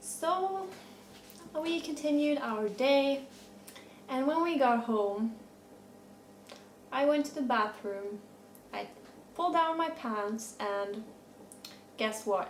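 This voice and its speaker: There is noticeable background noise as a woman talks at a high pitch. She speaks very slowly, with long, frequent pauses. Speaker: horse rider. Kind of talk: casual storytime talk to camera.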